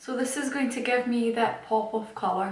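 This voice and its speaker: Amid light background noise and audible room echo, a woman speaks in a high pitch at a fairly slow pace. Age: young. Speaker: makeup YouTuber. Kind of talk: chatty makeup tutorial talk to camera.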